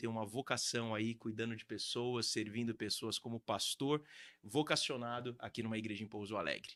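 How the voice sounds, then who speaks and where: On a very clean recording with a silent background, a man speaks quickly-ish, at a fairly quick pace, in an ordinary speaking voice of medium pitch. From Brazil, Santos coast of São Paulo. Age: 30s. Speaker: real estate agent and pastor. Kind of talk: podcast interview.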